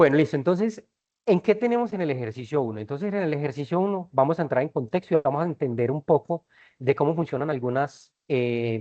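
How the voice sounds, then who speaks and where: This man talks with lively intonation. His delivery is fairly quick. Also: fairly high pitch for a man. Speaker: university physics lecturer. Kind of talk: online lecture. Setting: video conference class. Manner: fast.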